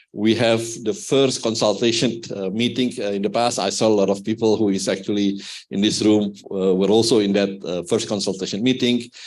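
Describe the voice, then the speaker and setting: A man with a fairly low pitch talks at a fairly quick pace, his intonation fairly even and his speech hardly pausing. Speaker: conference speaker. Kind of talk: presentation. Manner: hesitant, many fillers; fast.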